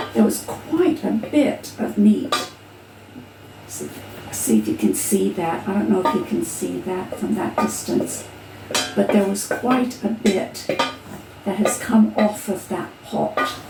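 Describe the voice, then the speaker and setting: Amid audible room echo and music in the background, a woman speaks at a very slow pace with long, frequent pauses. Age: 60s. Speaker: home cook video host. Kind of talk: cooking tutorial. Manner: casual, halting.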